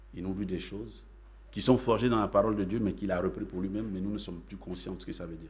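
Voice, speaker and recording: A man speaks very fast in a fairly low voice with vocal fry. The room echo is audible. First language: Yacouba (Dan) (speaking French). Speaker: pastor. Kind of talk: sermon.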